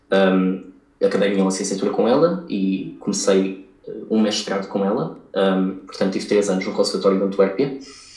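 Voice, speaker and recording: Audible room echo surrounds the speech. The pace is moderate and the intonation fairly even. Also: man, fairly low pitch for a man. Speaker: violinist. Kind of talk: interview. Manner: halting, many fillers.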